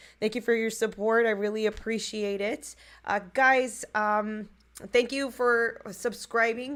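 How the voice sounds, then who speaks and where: In a very clean recording with a silent background, a woman with a fairly high pitch speaks very slowly with fairly even intonation. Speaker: livestream podcast host. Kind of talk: casual livestream commentary. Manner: casual with many fillers.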